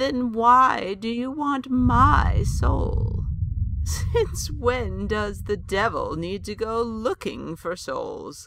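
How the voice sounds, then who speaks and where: A put-on character voice moves at a very slow pace. Light background noise sits behind it. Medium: audio drama. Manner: wry, sharp-witted.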